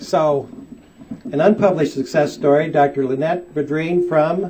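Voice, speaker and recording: Speaking at a fairly slow pace with an American accent, a man uses a fairly high pitch and ordinary pitch variation. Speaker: back pain doctor. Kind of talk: seminar talk to audience.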